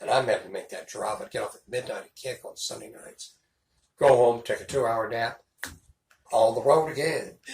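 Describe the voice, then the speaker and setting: Speaking at a moderate pace with an American accent, a man shows big swings in loudness. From Houston, Texas. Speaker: radio DJ and talk radio host. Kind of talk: casual interview answer. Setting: interview.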